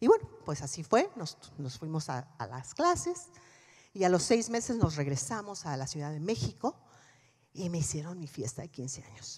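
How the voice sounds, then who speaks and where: Against a quiet background, a woman with a very deep, low pitch speaks somewhat breathily at a moderate pace. Her tone is animated, with very wide pitch swings and big swings in loudness. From Mexico. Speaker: motivational speaker, former politician; keynote speaker. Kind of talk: keynote speech. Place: stage. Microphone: handheld.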